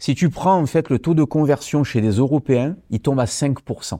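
A man's fairly high voice in a dark, mellow tone with ordinary pitch variation and a fairly slow pace, on a very clean recording with a silent background and a dry, close sound with no echo. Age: 40s. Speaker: nutrition company founder, former karate champion. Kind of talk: casual interview.

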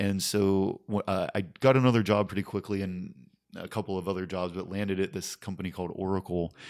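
A man with an American accent has a plain, everyday voice, a fairly low pitch and fairly even intonation. He speaks at a fairly quick pace on a very clean recording with a silent background. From Pennsylvania, Pittsburgh area. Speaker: comedy writer and comedian. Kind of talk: casual chat.

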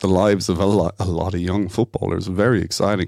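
Speaking with an Irish accent, a man with a very deep, low pitch keeps a fairly even intonation in a very clean recording with a silent background. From Ireland, Dublin and Waterford. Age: 30s. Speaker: food startup founder. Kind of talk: interview.

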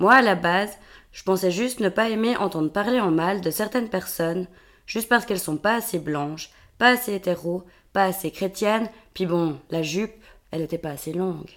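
A plain, everyday voice from a woman at medium pitch, with ordinary pitch variation and a moderate pace, on a very clean recording with a silent background. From Switzerland, Vaud countryside. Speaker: podcast co-host. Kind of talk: scripted monologue.

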